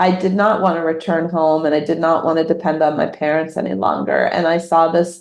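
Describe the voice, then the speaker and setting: A normal speaking voice talks at a moderate pace. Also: woman. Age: 50s. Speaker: novelist. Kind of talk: interview.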